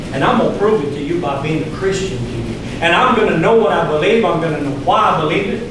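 A man with an American accent, high for a man, talking very fast with lively intonation, amid strong room echo and noticeable background noise. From US South, Louisiana. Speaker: pastor. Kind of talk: sermon. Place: church. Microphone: podium.

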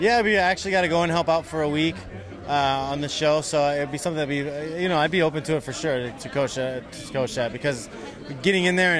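Someone talks at a very fast pace over crowd noise in the background, the sound dry with no echo. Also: man. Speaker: interviewee. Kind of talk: interview answer. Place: hall.

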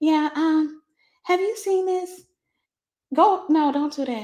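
A put-on character voice from a woman, soft-spoken and squeaky, extremely high in pitch, at a very slow pace. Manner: soft-spoken, quiet.

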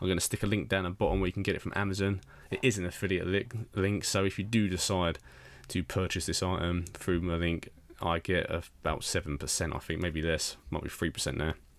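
A man talks at a fairly quick pace in a low pitch with vocal fry. His pitch moves little.

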